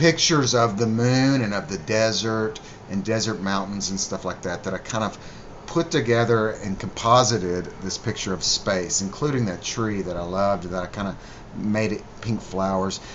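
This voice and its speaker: With noticeable background noise behind him, a man talks at a moderate pace and a fairly low pitch with ordinary pitch variation. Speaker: musician. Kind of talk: video commentary. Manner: casual, halting with fillers.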